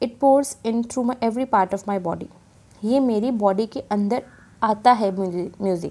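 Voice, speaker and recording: A woman's fairly high voice, dark and mellow in tone, at a fairly slow pace with ordinary pitch variation. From India. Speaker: teacher. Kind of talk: lecture. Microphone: phone near.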